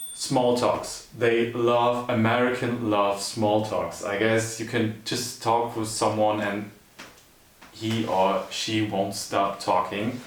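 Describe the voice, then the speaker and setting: A man's very slow, monotone, flat delivery in a German accent at medium pitch, with audible room echo and noticeable background noise. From Germany. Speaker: YouTuber in couple channel. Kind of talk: casual chat.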